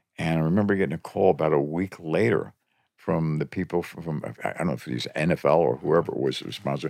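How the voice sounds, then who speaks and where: A man talks at a very fast pace with a very deep, low pitch and vocal fry. The sound is dry and close with no echo. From Philadelphia, US. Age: 70s. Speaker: veteran music industry promoter. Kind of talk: casual interview. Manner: laughs often, good-humored.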